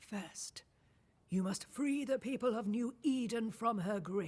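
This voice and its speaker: This is a put-on character voice. It moves along at a fairly slow pace. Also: female-sounding voice, fairly high pitch for a woman. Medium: video game. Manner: cryptic, measured.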